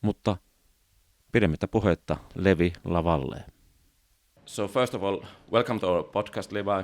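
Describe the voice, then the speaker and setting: The speaker has a Finnish accent and ordinary pitch variation. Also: man. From Finland, remote rural area. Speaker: podcast host. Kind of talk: podcast interview.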